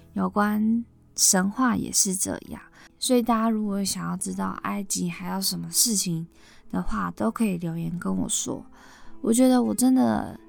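Over background music, a woman speaks at a fairly slow pace. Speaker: podcast host, myth storyteller. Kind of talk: storytelling narration; casual chat.

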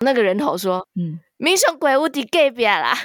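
A woman at a fairly quick pace, with very wide pitch swings and a dry, close sound with no echo. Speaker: podcast host and amateur comedian. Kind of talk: casual chat.

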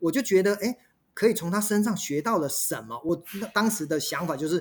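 This is a man speaking with a high pitch. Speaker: restaurant company executive and author. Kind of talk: interview.

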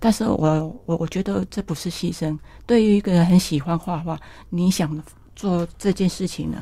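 A woman talks with a fairly low pitch and a dark, mellow tone. Her voice is somewhat breathy, with ordinary pitch variation. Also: moderate pace. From Taiwan, Yunlin County. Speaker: botanical painter. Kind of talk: interview.

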